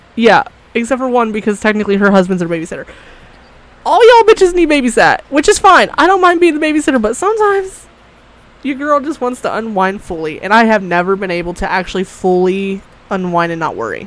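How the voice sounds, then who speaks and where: Amid noticeable background noise, a woman with a fairly high pitch talks at a very fast pace in an animated tone, with very wide pitch swings. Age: 20s. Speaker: podcast host. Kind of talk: casual chat.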